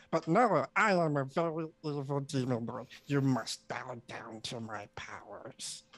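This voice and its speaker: A put-on character voice at a low-to-middle pitch moves at a fairly slow pace with hardly any pauses. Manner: haughty, domineering.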